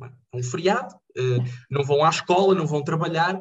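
A man speaks at a moderate pace. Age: 20s. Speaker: jurist and local politician. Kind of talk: interview. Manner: halting.

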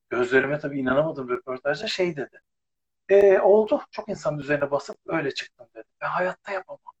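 A man speaks fairly quickly with a fairly high pitch, lively intonation and big swings in loudness. His voice is somewhat breathy, with a dry, close sound and no echo. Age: 50s. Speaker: former TV presenter. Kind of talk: casual chat.

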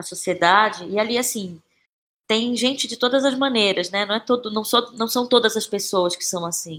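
A woman's voice with ordinary pitch variation. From Brazil, Belém (Pará). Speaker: actress and playwright. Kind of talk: interview conversation.

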